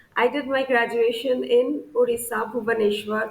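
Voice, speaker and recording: A woman's fairly high voice with ordinary pitch variation amid noticeable background noise. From India, Assam. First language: Bengali. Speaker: scientist. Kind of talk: interview monologue on career. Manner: frequent hesitations (uh).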